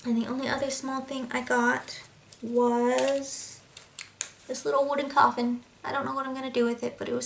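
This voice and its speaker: This woman talks at a fairly quick pace in a high voice. Noticeable background noise runs behind her. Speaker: cross-stitch video blogger. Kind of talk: casual chat. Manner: animated.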